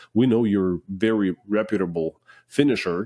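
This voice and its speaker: A man with a non-native accent speaks at a fairly low pitch in a dark, mellow tone. The sound is dry and close with no echo, and the background is quiet. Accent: foreign. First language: not English. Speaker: finishing business owner. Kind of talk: podcast interview.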